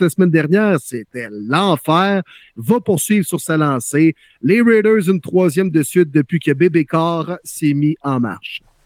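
A man speaks at a fairly slow pace with a high pitch. His intonation is lively, and the recording is very clean with a silent background. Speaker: podcast host, football talk. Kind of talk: casual chat about football.

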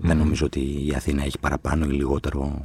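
Talking at a fairly quick pace, a man with a very deep, low pitch shows vocal fry. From Athens, Greece (Exarchia). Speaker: novelist and screenwriter. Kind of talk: casual interview chat.

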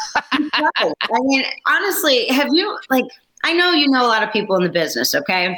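A woman uses a raised, projected voice with a high pitch and very wide pitch swings. She keeps a moderate pace and very even loudness. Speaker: film producer. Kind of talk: casual chat. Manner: animated.

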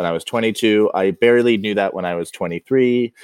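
Recorded very cleanly against a silent background, with a dry, close sound and no echo, a man with a plain, everyday voice speaks at a fairly low pitch with ordinary pitch variation. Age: 30s. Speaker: dinnerware brand co-founder. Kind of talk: interview conversation.

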